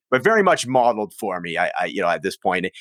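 Talking at a very fast pace with a western Canadian accent, a man uses very wide pitch swings and vocal fry, the sound dry and close with no echo. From Prince George, northern British Columbia, Canada. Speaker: addiction recovery guest, musician. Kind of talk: casual interview, personal testimony.

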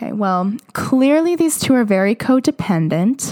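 Lively intonation marks this woman's fairly slow delivery, and she has an unremarkable speaking voice. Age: 20s. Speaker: podcast host reading fan fiction. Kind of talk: casual commentary with reading aloud. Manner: filler-heavy, casual.

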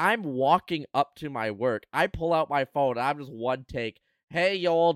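A man talks at a moderate pace with ordinary pitch variation. It is a plain, everyday voice, in a dry, close sound with no echo. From Canada. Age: 20s. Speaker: podcast host and streamer. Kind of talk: casual chat. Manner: casual.

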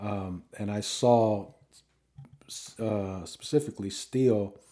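With a dark, mellow tone, a man speaks at a fairly low pitch. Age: 50s. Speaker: touring musician. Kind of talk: casual chat.

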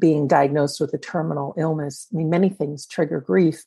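A woman with a fairly low pitch speaks with vocal fry and ordinary pitch variation. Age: 50s. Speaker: afterlife author and podcast host. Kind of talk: interview.

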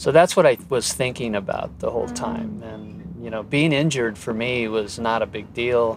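Over noticeable background noise, a man speaks at medium pitch and a moderate pace with lively intonation and big swings in loudness. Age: 70s. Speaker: gymnast and yoga student. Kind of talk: interview. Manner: halting, with fillers.

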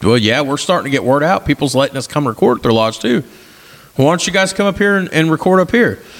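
A man at a very fast pace, with very wide pitch swings. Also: fairly high pitch for a man. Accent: Southern Indiana. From southern Indiana. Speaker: podcast host. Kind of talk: casual chat.

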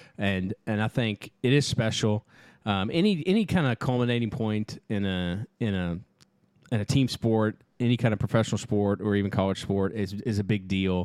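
A man with a fairly low pitch speaks at a moderate pace in an animated tone with ordinary pitch variation. The recording is very clean with a silent background and has a dry, close sound with no echo. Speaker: podcast co-host, camp staffer. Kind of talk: casual chat. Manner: animated, joking.

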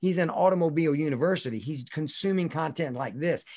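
The speaker is a man at a fairly quick pace. His intonation shows ordinary pitch variation. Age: 40s. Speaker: leadership coach. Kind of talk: interview. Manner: animated.

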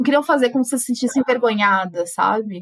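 A woman's somewhat breathy voice. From Brazil, São Paulo city. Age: 20s. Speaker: journalist. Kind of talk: casual interview conversation.

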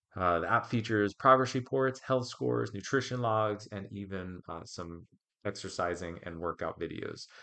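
This man has an ordinary speaking voice, fairly low in pitch, at a moderate pace. His intonation is lively and his loudness swings a lot. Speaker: podcast host and coach. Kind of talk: podcast interview and solo research review. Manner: conversational with filler words.

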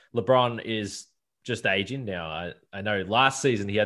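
The speaker has an Australian accent. The background is quiet. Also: man. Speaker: basketball podcast host. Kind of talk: casual interview.

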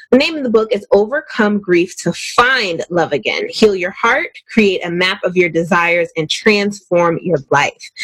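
A woman speaks at a medium pitch and a moderate pace, her upbeat, animated tone carried by lively intonation. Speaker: radio host. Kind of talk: radio dj patter. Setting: radio studio, live.

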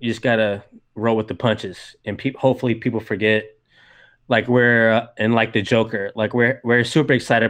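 A man speaks with an American accent in an ordinary speaking voice, his pitch medium. He goes at a fairly quick pace against a quiet background. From US South, Georgia. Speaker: film podcaster. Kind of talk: casual chat.

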